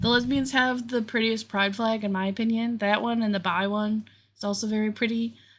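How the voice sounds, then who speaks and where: With an American accent, a woman speaks at a moderate pace in a fairly high, somewhat breathy voice with fairly even intonation, on a very clean recording with a silent background. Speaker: crochet crafter and vlogger. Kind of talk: casual crafting vlog chat. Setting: home basement. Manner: rambling with frequent fillers and restarts.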